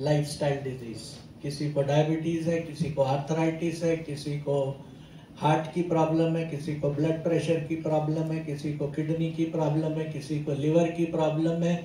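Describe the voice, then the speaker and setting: Here a man speaks with fairly high pitch. His intonation is monotone and flat, with audible room echo. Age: 70s. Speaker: company chairman. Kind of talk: motivational talk to audience.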